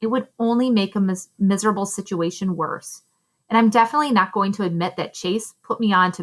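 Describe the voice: The voice is plain reading aloud over a quiet background.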